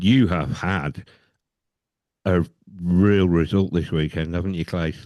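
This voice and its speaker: Very slow and very deep, a man speaks in an English accent with a dark, mellow tone, ordinary pitch variation and long, frequent pauses. The background is quiet. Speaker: podcast host. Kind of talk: casual chat.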